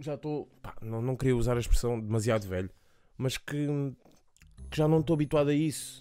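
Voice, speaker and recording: A man talks at a fairly quick pace with long, frequent pauses, his medium pitch showing ordinary variation. His tone is dark and mellow, and the recording is very clean with a silent background. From Portugal, Lisbon south bank. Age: 20s. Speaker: podcast host. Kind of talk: casual solo monologue.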